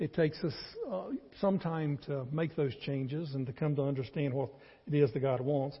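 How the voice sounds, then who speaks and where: Speaking with a Southern US accent, a man with a somewhat breathy, fairly high voice talks at a moderate pace with ordinary pitch variation. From North Carolina. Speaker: pastor. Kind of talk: sermon. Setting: church.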